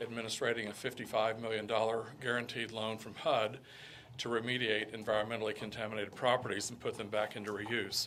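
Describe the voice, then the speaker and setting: This man talks at a very fast pace in a medium-pitched voice, his intonation monotone and flat. Noticeable background noise runs under him. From Kentucky (Lexington). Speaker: economic development director. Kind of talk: presentation to town council. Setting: town council meeting. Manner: halting, many fillers.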